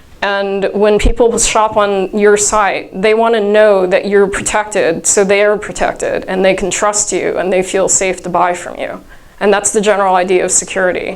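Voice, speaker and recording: Hardly pausing, a woman speaks at a moderate pace in a medium pitch with monotone, flat intonation. Noticeable background noise and audible room echo surround her. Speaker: conference speaker. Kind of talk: workshop talk. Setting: conference room with audience. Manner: loud.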